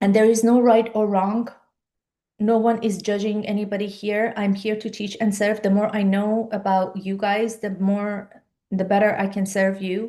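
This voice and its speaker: A woman with a Persian accent speaks at a moderate pace in a medium pitch, her tone dark and mellow. Her intonation is monotone and flat, and the background is quiet. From Iran. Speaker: life and business coach. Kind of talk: live-stream webinar talk. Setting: live video stream.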